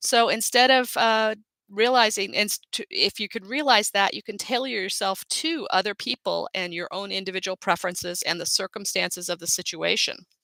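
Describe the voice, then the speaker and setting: A woman speaks loudly at a moderate pace, with a medium pitch, ordinary pitch variation and hardly any pauses. Her tone is bright and sharp, and the sound is dry and close with no echo. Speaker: life coach. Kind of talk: live webinar talk. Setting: live online broadcast.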